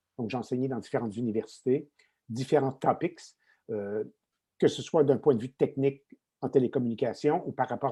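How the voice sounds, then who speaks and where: A man's dark, mellow voice carries ordinary pitch variation. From Quebec. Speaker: retired tech executive and lecturer. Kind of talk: podcast interview.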